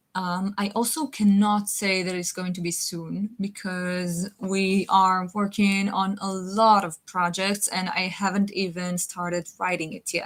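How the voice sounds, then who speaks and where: With a non-native accent, a woman speaks at a fairly slow pace and medium pitch in a monotone, flat delivery with hardly any pauses. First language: not English. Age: 20s. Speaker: web series creator. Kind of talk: live stream chat answering viewer questions. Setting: live stream. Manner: halting.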